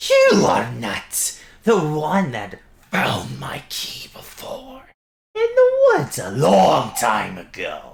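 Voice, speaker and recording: Very slow pacing from a man in a put-on character voice. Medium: actual play. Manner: theatrical, sing-song, gleeful.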